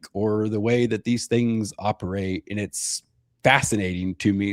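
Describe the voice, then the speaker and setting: Recorded very cleanly against a silent background with a dry, close sound and no echo, a man with a fairly low pitch talks in an animated tone at a moderate pace. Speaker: podcast host. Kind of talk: casual chat.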